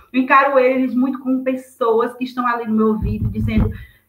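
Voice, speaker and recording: With a fairly high pitch, a woman speaks at a fairly quick pace. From Brazil, interior of Bahia (Juazeiro). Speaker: writer. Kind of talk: interview. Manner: fast; animated.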